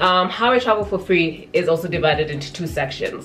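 Faint music plays behind a woman who speaks at a moderate pace in a fairly low pitch with ordinary pitch variation. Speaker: travel vlogger. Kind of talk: casual vlog chat. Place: home room.

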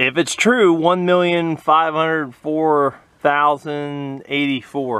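A fairly high-pitched man in a relaxed tone, at a very slow pace with ordinary pitch variation and a dry sound with no echo. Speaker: fuel trailer restorer, hobby mechanic. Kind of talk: casual talk to camera. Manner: relaxed, hesitant with fillers. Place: open country. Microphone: phone near.

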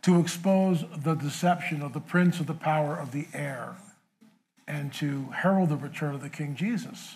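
A man speaks with ordinary pitch variation. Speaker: interview guest. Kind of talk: interview answer. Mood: earnest personal testimony. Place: stage. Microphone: lapel.

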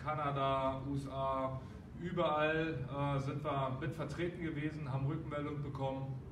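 Noticeable background noise runs under the recording. A man speaks in a monotone, flat intonation. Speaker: boxing gym trainer. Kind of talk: announcement to members. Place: gym. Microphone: camera far.

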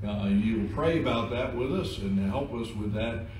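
A man speaks at a fairly slow pace. Light background noise and audible room echo are present. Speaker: pastor. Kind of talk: church announcements then scripture reading. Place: church. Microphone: podium.

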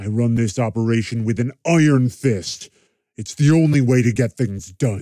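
The speaker is a man with a medium pitch. His pace is moderate. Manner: menacing, coolly polite.

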